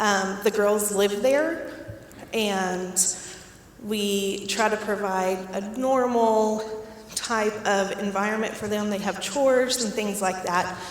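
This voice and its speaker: A woman's fairly high voice at a very slow pace with fairly even intonation, amid noticeable background noise and audible room echo. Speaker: director of a foster care program. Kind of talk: community talk.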